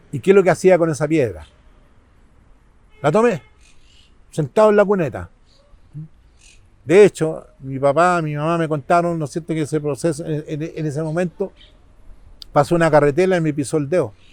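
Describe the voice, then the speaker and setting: Fairly high-pitched man with a Chilean accent, marked by long, frequent pauses. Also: ordinary pitch variation, moderate pace. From Chile, San Bernardo. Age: 70s. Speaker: local community figure. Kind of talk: interview.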